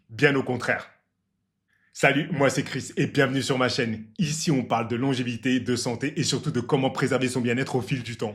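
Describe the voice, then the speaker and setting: Animated and somewhat breathy, a man talks at a fairly quick pace and medium pitch, on a very clean recording with a silent background. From Martinique roots. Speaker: health and longevity YouTuber. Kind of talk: casual explainer vlog.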